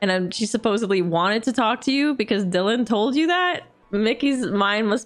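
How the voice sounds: Simply a natural reading voice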